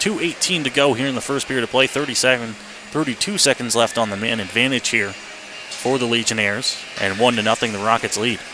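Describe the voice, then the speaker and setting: A man's very fast, energetic delivery at medium pitch, with ordinary pitch variation and noticeable background noise. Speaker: radio hockey play-by-play announcer. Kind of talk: live radio sports play-by-play commentary.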